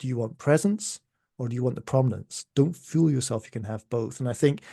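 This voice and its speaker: Against a quiet background, a man with a Scottish accent talks at a fairly quick pace. His medium-pitched voice is somewhat breathy with a dark, mellow tone and ordinary pitch variation. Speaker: music economist. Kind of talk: podcast interview. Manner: animated.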